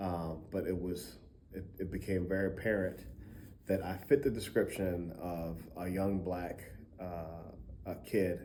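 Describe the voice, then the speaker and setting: Amid audible room echo, a man with an American accent speaks fairly slowly in a very deep, low pitch, his tone dark and mellow and his intonation fairly even. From Baltimore, Maryland. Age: 40s. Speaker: music professor. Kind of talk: testimony. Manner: halting, many fillers.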